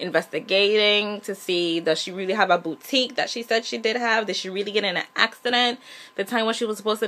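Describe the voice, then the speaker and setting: At a fairly quick pace, a woman speaks in a bright, sharp tone at a medium pitch. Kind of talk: casual TV episode review to camera. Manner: conversational, chatty.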